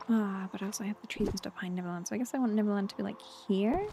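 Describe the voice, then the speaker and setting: A woman's fairly high, somewhat breathy voice, dark and mellow in tone, with ordinary pitch variation. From London, England. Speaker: video game streamer. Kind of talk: casual gameplay chat. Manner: rambling, halting with self-corrections.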